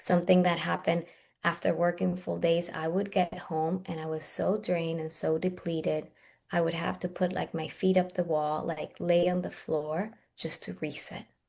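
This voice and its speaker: A woman's fairly low-pitched, monotone, flat voice at a moderate pace. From Russia. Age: 40s. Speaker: Ayurvedic practitioner and herbalist. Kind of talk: podcast interview.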